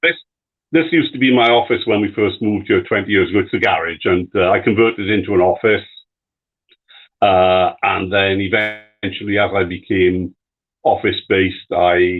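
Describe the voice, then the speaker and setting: A man with a British accent talks at a moderate pace. His pitch is fairly low, with ordinary variation. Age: 60s. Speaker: cancer survivor and retiree. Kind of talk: live stream interview. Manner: halting, many fillers.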